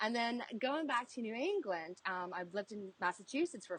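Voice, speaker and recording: The sound is dry and close, with no echo. A woman talks at a fairly quick pace. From South Africa, moved to Mississippi at 16. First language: Afrikaans. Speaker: cook and food personality. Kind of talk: casual interview chat. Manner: hesitant, many ums.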